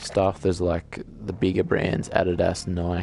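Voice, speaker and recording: The speaker keeps a moderate pace, with music in the background. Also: man. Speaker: gamer. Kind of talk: casual gameplay commentary.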